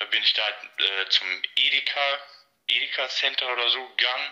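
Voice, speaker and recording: A man at medium pitch and moderate pace, with long, frequent pauses. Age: 20s. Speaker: train enthusiast. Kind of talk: casual interview. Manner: halting, many fillers.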